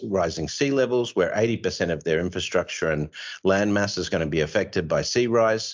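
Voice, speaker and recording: His voice sits very deep and low. This man has an Australian accent. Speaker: podcast host and author, here as guest. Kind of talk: casual interview discussion.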